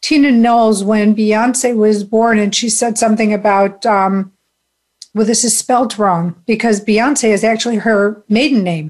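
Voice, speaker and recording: A woman's unremarkable speaking voice, fairly high in pitch with ordinary pitch variation. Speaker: spiritual talk show host. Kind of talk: casual interview chat.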